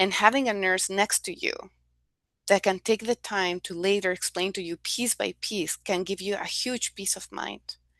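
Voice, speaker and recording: Recorded dry and close with no echo against a quiet background, a woman of medium pitch speaks at a moderate pace with ordinary pitch variation and a bright, sharp tone. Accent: non-native. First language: not English. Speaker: nonprofit health program staff. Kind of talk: testimony.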